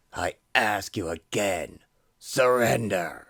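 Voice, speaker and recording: Speaking very slowly in a put-on character voice, a man sounds raspy at a fairly low pitch with ordinary pitch variation, on a very clean recording with a silent background. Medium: audio drama. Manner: rigid, self-righteous.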